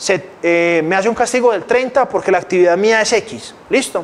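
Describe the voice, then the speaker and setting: The speaker's intonation is lively, with noticeable background noise. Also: man. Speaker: financial educator. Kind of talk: lecture. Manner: fast.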